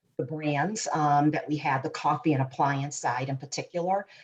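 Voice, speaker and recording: With a Boston accent, a woman speaks in a very deep, low voice at a moderate pace, her intonation monotone and flat. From Boston, Massachusetts. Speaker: corporate insights executive. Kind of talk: panel discussion.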